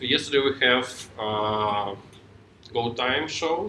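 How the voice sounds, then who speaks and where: A man with a Ukrainian accent, a bright, sharp tone and ordinary pitch variation. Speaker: software tech lead, conference speaker. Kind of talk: tech talk. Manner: halting.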